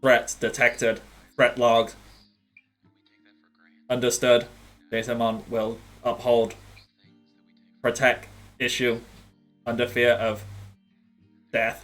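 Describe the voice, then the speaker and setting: Faint music plays behind a man's robotic, put-on character voice at a medium pitch, delivered at a fairly slow pace with long, frequent pauses. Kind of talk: formal, command-log phrasing. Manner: flat, robotic monotone.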